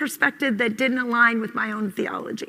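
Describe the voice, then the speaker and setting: A woman with an American accent speaks in a raised, projected voice. Her tone is bright and sharp. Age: 50s. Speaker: conference speaker, mother. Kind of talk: conference talk.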